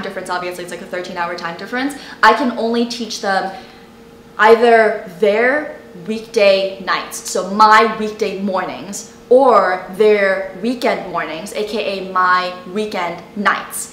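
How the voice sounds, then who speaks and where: A woman talks at a fairly slow pace, her loudness swinging widely. The room echo is audible, with light noise in the background. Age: 20s. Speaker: college student youtuber and online tutor; college student youtuber, online tutor. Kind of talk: casual vlog talk to camera; casual vlog chat. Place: home room.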